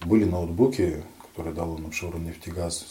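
Against noticeable background noise and audible room echo, a man speaks at a very deep, low pitch. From Dagestan, Russia. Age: young. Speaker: head of a local society for the blind, lawyer. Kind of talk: radio interview.

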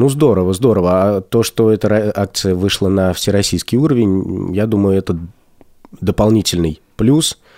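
This man has a fairly low pitch and a dark, mellow tone, with ordinary pitch variation at a moderate pace. His loudness stays very even in a dry, close sound with no echo. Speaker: radio host. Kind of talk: radio talk show, live link-up with remote participants. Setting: studio.

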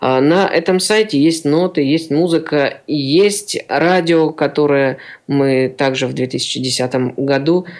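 This man's pitch is fairly high and varies in an ordinary way. He talks at a very slow pace. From Siberia, Kemerovo region. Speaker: accordion player and teacher. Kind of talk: radio interview.

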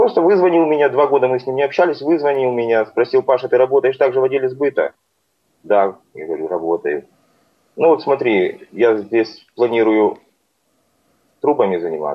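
A man speaks at a moderate pace and medium pitch. His intonation is lively, broken by long, frequent pauses. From Crimea, Simferopol. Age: 30s. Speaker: sales manager. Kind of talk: radio interview.

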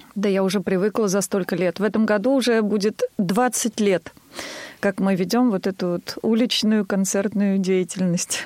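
A woman at a moderate pace with very even loudness, dry, close sound with no echo and noticeable background noise. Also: medium pitch for a woman, fairly even intonation. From Tver, Russia. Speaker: singer. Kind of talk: radio interview.

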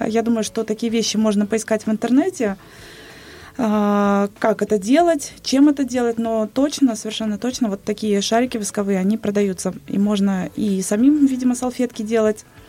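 An unremarkable speaking voice at a moderate pace. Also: woman, fairly high pitch for a woman, ordinary pitch variation. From Bashkortostan, Russia. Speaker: radio host. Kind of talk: casual chat on live radio. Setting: radio studio.

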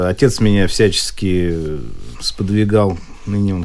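The man's tone is dark and mellow, with a fairly low pitch. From Moscow, Russia. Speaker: politician and wheelchair athlete. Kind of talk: radio interview.

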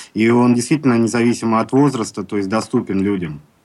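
In an ordinary speaking voice, a man talks at a medium pitch, his pitch varying in an ordinary way. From Baltiysk, Kaliningrad region. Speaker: member of society of the blind. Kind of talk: radio interview.

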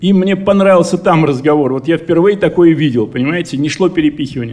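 This man, with a normal speaking voice, talks at a fairly quick pace in a fairly high pitch with ordinary pitch variation. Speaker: enterprise director. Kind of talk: conference speech. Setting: congress hall.

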